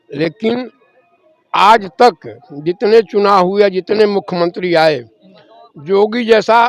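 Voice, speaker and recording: The sound is close and dry, free of any echo. This man's voice is high-pitched. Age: 70s. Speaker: retired pensioner, local resident. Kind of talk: street interview.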